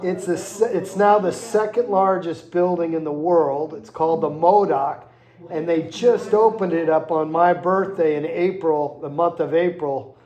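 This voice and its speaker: Pitch varies in an ordinary way as the speaker goes at a moderate pace. There is noticeable background noise behind the voice. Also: man, high pitch for a man. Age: 60s. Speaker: interviewer visiting a veteran. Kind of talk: casual chat. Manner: halting, with many fillers.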